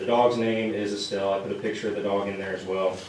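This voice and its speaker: A man with a fairly low voice speaks fairly quickly in a shaky, flat monotone, with noticeable background noise and audible room echo. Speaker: police officer. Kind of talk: public presentation at council meeting. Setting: town council meeting. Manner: nervous, shaky delivery; halting, many fillers.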